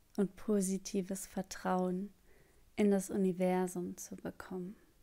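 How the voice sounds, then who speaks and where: Very slowly, a woman speaks at medium pitch in a calm, dark, mellow tone. Her intonation is monotone and flat. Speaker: meditation guide. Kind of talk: guided meditation. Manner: calm, slow.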